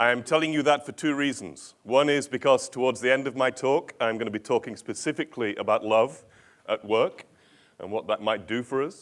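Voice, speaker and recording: A man with a normal speaking voice, medium pitch and ordinary pitch variation, at a fairly quick pace. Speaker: organizational change consultant and author. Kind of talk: conference keynote talk. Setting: stage with audience and translators.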